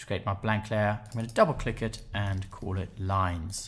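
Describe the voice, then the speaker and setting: A somewhat breathy man talks with an English accent. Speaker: photoshop tutor. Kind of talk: software tutorial narration.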